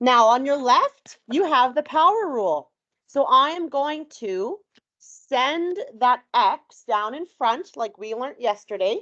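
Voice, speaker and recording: Speaking very slowly, a woman with a high pitch and a bright, sharp tone moves through very wide pitch swings in a dry, close sound with no echo. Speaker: high school math teacher. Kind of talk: classroom lecture. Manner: loud.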